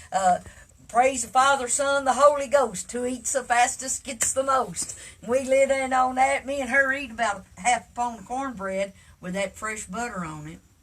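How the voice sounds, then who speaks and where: In an Appalachian accent, a woman talks at a moderate pace with a high pitch, ordinary pitch variation, and big swings in loudness. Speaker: storyteller. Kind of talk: storytelling. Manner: folksy, halting with fillers.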